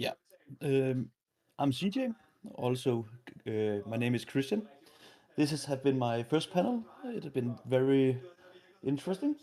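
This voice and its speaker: A man speaks with a Danish accent, his tone dark and mellow at a medium pitch. His intonation is lively and his pace moderate, broken by long, frequent pauses. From Denmark. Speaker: panelist, law graduate. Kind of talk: panel discussion. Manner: halting.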